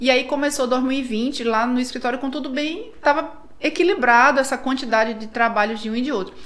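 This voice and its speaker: Fairly quick speech from a woman, high in pitch, with ordinary pitch variation. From northern Brazil (Tucuruí, Pará). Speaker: architect. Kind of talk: casual interview.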